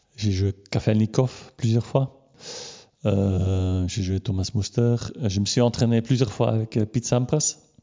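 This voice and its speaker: A man's fairly low voice moves at a very slow pace, its pitch varying in an ordinary way. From Belgium, Limburg (Flemish). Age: 50s. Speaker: former pro tennis player and journalist. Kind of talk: interview. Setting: at home. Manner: halting, many repetitions and fillers.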